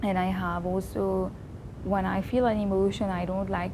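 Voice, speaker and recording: Speaking at a moderate pace, a woman is heard over noticeable background noise with audible room echo. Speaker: vlogger. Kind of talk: personal reflection monologue. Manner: loud; trying to keep voice down.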